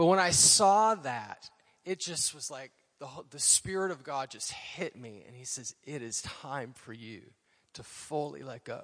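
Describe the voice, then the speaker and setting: Here is a man with an unremarkable speaking voice, fairly high in pitch. His intonation is lively, and his loudness swings widely. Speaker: former associate pastor. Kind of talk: testimony. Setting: church.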